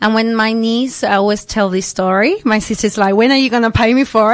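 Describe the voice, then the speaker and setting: A woman's fairly high voice in a Spanish accent, against noticeable background noise. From Argentina, then Adelaide, Australia from age 10. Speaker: dance teacher and entrepreneur. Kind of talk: radio interview. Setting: radio studio.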